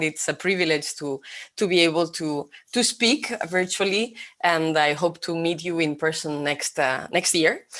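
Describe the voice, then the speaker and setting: A woman talks in a Spanish accent. Her pace is fairly slow. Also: quiet background. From Spain. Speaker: vision expert.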